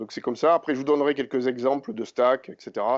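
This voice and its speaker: A man with a southern French accent. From southern France, Montpellier. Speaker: IT engineer presenter. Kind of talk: conference talk. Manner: hesitant, many fillers.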